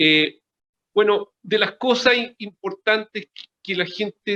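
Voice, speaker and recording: A man speaks at a fairly slow pace in a high, bright and sharp voice, raised and projected. His pitch varies an ordinary amount, and the sound is dry and close with no echo. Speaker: cardiologist. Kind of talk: interview. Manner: halting.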